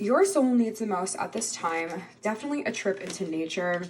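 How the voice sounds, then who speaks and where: Soft-spoken, a woman talks at medium pitch and a moderate pace with ordinary pitch variation amid noticeable background noise. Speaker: tarot reader. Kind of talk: pick-a-card tarot reading. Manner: soft-spoken, calm.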